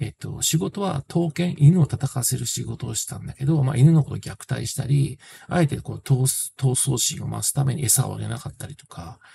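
With a dark, mellow tone and some vocal fry, a man talks at a fairly quick pace with ordinary pitch variation over light background noise. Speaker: film reviewer. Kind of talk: casual film review talk. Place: home room. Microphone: phone near.

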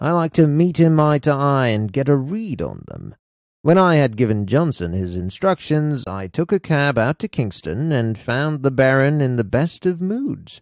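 At a moderate pace, a man with a fairly high pitch speaks in a dramatic tone with very wide pitch swings, over a very clean recording with a silent background. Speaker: audiobook narrator. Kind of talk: audiobook narration. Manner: measured, dramatic storytelling with character voices.

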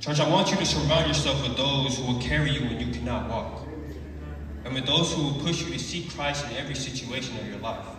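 Strong room echo and clear background noise surround a man talking at a fairly quick pace. His pitch sits in the medium range, with ordinary variation.

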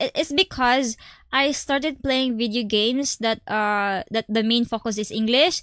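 In a Visayan accent, a woman talks at a fairly slow pace in a high pitch with ordinary pitch variation, the sound dry with no echo and the background quiet. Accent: Bisaya accent in Tagalog. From Philippines, Visayas; Philippines. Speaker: gaming streamer. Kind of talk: casual live stream chat. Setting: live stream. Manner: animated. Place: home room. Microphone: studio mic.

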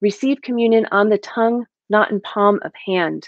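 Over a quiet background, a woman talks at a moderate pace in a dry sound with no echo. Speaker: guest poet. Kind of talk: poetry reading. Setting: video call. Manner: measured, reflective, steady read with quiet, narrative delivery. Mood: calm, reflective. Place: home room. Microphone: webcam.

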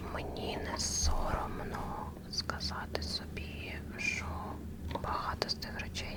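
A woman whispering, with noticeable background noise. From Mariupol, Ukraine. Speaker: ASMR creator. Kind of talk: ASMR whisper talk with paper cutting. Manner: whispered; soft-spoken, calming.

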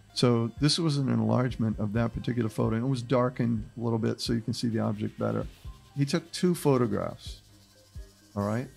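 Over faint background music, the speaker talks at a fairly quick pace. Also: man. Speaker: podcast host presenting a case. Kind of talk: podcast discussion. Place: studio. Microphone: studio mic.

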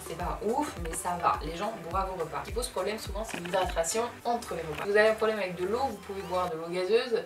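A woman talking at a fairly quick pace with ordinary pitch variation, music in the background. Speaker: beauty youtuber. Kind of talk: tutorial. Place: home room.

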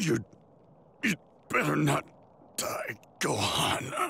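A man's cartoonish character voice, very slow, with very wide pitch swings, a bright, sharp tone, a husky, rough edge and vocal fry. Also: fairly high pitch for a man.

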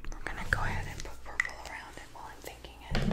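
A soft-spoken woman's whisper at a moderate pace. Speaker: art creator. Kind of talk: casual tutorial chat. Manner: soft ASMR whisper while drawing. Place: home room.

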